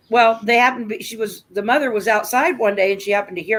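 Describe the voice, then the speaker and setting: A fairly high-pitched woman with an American accent at a very fast pace. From US Midwest, rural Nebraska. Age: 60s. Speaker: livestream host. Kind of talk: casual chat.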